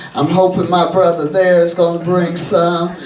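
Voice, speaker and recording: A woman speaks with an American accent. The recording has audible room echo and noticeable background noise. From Kansas City, Kansas. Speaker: activist and artist. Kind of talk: talk to an audience. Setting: gallery event with audience. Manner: animated.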